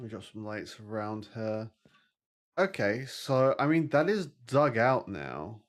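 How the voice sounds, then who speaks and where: Here a man with a British accent talks at a medium pitch and a fairly slow pace, his intonation lively and his loudness swinging widely. The recording is very clean, with a silent background. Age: 30s. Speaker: vtuber gaming streamer. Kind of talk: casual gaming livestream chat.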